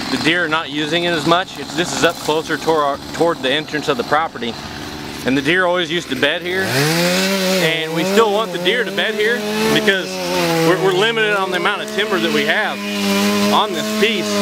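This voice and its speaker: Over loud background noise, the speaker goes at a fairly quick pace, and the sound is dry with no echo. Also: man. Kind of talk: outdoor tutorial vlog. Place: forest. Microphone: phone near.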